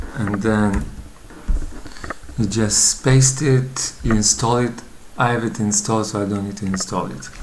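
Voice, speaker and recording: Noticeable background noise runs beneath speech that goes at a fairly slow pace, broken by long, frequent pauses. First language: not English. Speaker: coding tutorial youtuber. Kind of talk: tutorial. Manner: hesitant, many fillers.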